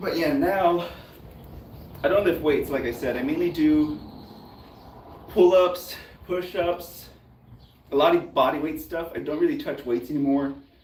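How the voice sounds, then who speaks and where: A high-pitched man speaks with long, frequent pauses. The room echo is audible and the background noise noticeable. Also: ordinary pitch variation, moderate pace. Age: 30s. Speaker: fitness youtuber. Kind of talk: casual chat. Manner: casual, filler-heavy.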